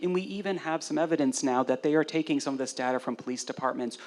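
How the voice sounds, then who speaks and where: This man speaks very fast against noticeable background noise. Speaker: professor. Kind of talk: panel discussion. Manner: loud.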